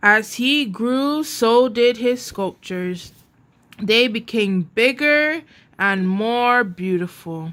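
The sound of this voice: At a slow pace, a woman speaks with lively intonation, a fairly high pitch and a fairly bright tone.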